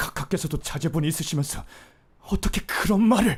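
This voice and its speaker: A man puts on a character voice that is quiet, strained and high-pitched for a man, talking at a fairly quick pace. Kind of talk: dubbing practice. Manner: quiet, restrained.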